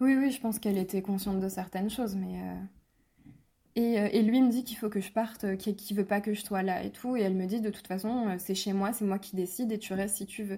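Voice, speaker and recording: A woman's somewhat breathy voice with a dark, mellow tone, medium pitch, fairly even intonation and a fairly quick pace. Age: 20s. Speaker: abuse survivor. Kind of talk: testimony.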